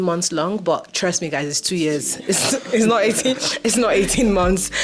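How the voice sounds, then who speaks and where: Her intonation is lively and her pitch fairly low as this woman talks at a moderate pace over noticeable background noise. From Nigeria. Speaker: YouTuber and master's student. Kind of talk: casual chat. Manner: relaxed, light-hearted.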